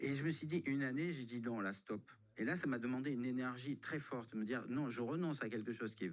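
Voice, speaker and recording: A man talks at a fairly quick pace and a medium pitch with ordinary pitch variation. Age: 60s. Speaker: budget consultant. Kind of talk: radio interview. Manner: halting.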